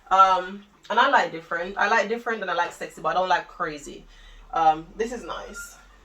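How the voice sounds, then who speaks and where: Over noticeable background noise, a woman speaks at a fairly quick pace and medium pitch in an animated tone, with ordinary pitch variation and big swings in loudness. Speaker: fashion vlogger. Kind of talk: try-on haul video.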